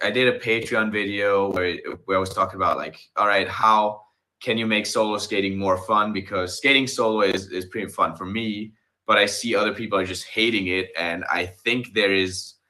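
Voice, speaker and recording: A man with a non-native accent speaks at a moderate pace in a fairly low pitch. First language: not English. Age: 30s. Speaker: inline skater. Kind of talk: casual chat. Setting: live stream. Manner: halting.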